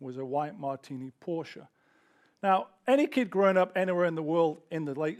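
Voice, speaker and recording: On a very clean recording with a silent background, a man with a fairly high pitch speaks at a moderate pace with ordinary pitch variation. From northern England, Sheffield. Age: 40s. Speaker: entrepreneur and speaker. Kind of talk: talk to live audience.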